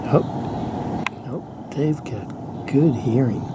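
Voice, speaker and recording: The recording has audible room echo along with noticeable background noise. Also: man. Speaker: gardening vlogger. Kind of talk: casual wildlife vlog narration. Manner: whispering.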